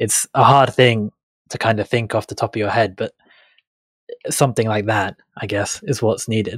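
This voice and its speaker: Somewhat breathy and fairly even in intonation, the speaker moves at a moderate pace with long, frequent pauses, recorded very cleanly against a silent background with a dry, close sound and no echo. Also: man, medium pitch for a man. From England. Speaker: gaming guest, council candidate. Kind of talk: casual chat.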